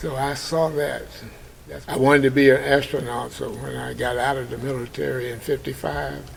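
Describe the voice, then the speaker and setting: The pace is moderate. Noticeable background noise and audible room echo are present. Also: man. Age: 80s+. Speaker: war veteran. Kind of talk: interview storytelling.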